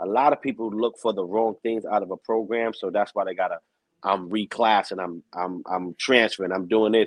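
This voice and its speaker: With a New York accent, a man speaks at a fairly low pitch and a fairly quick pace. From New York, Bronx. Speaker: streetball announcer. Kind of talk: interview. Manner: animated.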